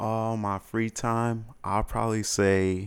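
Very slowly and in a monotone, flat intonation, a man with an American accent speaks in a very clean recording with a silent background. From Chicago, Uptown. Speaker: interview guest. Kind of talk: casual interview.

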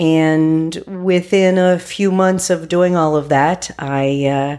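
A woman with an American accent, a fairly low pitch and fairly even intonation, on a very clean recording with a silent background. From US, West Virginia. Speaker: pediatric doctor. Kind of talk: interview.

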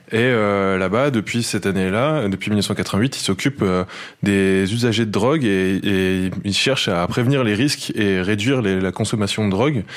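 A man's normal speaking voice, fairly low in pitch, with ordinary pitch variation and a fairly slow pace. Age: 20s. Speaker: football journalist. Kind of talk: field report.

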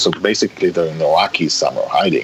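A man speaks with an Israeli accent over noticeable background noise. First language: Hebrew. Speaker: writer and director. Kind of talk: interview conversation.

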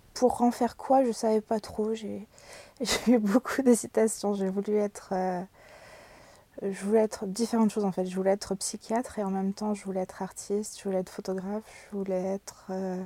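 The tone is dark and mellow, with monotone, flat intonation. The pace is moderate. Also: woman, medium pitch for a woman. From Brittany, France. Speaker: art therapist and illustrator. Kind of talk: interview. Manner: hesitant, many repetitions and fillers.

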